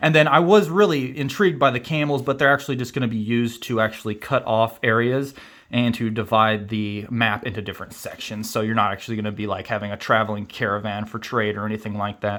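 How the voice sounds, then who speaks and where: Speaking with a Kansas accent, a man goes at a very fast pace and a medium pitch with ordinary pitch variation. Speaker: board game youtuber. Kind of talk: unboxing video. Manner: casual, filler-heavy.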